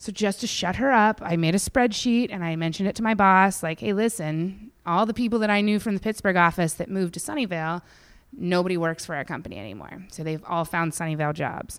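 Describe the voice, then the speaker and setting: A woman with an American accent talks at a very fast pace with hardly any pauses and ordinary pitch variation. The recording is very clean, with a silent background. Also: medium pitch for a woman. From western Pennsylvania (Indiana County). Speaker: comedian. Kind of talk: casual interview chat.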